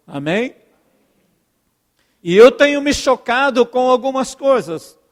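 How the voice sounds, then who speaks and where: A man with an extremely high voice speaks at a very slow pace, his pitch varying in an ordinary way. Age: 60s. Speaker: pastor. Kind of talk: sermon. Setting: church.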